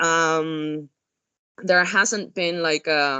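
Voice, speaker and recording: In a Spanish accent, a woman talks at a very slow pace with fairly even intonation. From Spain, Andalusia. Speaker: hospitality expert. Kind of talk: webinar talk. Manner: halting.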